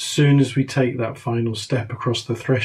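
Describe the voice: Plain reading aloud with fairly even intonation.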